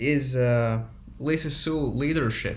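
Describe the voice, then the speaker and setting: Amid audible room echo, a man with a non-native accent speaks very slowly in a fairly high, somewhat breathy voice with ordinary pitch variation. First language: not English. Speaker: stock market YouTuber. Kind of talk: casual monologue. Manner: halting, many fillers and restarts.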